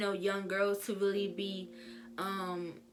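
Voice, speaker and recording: Music plays behind the voice of a woman talking. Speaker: book reviewer. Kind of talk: casual talk to camera.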